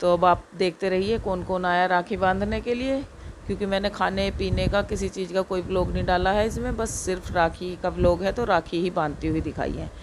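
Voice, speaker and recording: A woman with a medium-pitched voice speaks with fairly even intonation and hardly any pauses, with noticeable background noise behind her. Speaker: village vlogger. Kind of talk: vlog narration.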